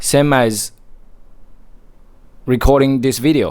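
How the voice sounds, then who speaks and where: A man talks at a very slow pace in a medium pitch. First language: Mandarin Chinese. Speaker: motivational vlogger. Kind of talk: motivational monologue.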